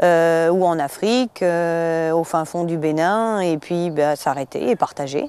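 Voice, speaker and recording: A woman talks at a very slow pace with a fairly low pitch and a dark, mellow tone. Her pitch varies in an ordinary way, with hardly any pauses. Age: 40s. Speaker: traveller. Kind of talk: interview. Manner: halting, many hesitations.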